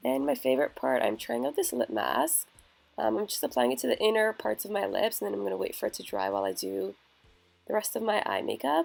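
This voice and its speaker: A woman talks fairly quickly while music runs in the background. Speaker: beauty vlogger. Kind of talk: tutorial.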